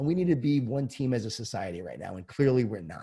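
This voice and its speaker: A dark, mellow, somewhat breathy voice at a very fast pace. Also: man. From Long Island, New York. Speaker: leadership author and keynote speaker. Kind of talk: casual interview.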